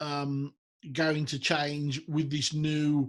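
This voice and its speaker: Speaking very slowly with a Birmingham accent, a man has a fairly high-pitched voice. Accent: Brummie. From Birmingham, England. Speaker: business show host. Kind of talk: interview. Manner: halting.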